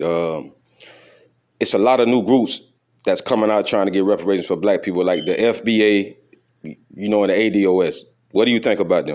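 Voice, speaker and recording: A normal speaking voice from a man, fairly low in pitch, fairly even in intonation and fairly quick in pace. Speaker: interviewer. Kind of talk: casual talk to camera.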